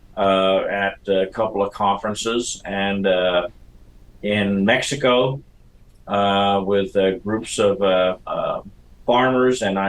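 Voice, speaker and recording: A man's fairly low voice, fairly even in intonation, at a very slow pace. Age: 60s. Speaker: soil scientist. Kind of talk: interview. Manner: halting, many fillers.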